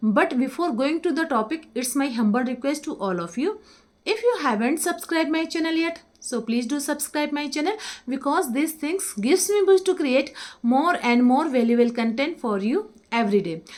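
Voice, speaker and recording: In an Indian accent, a woman with a high pitch speaks at a moderate pace, her pitch swinging very widely. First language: Hindi. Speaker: English teacher. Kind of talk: tutorial.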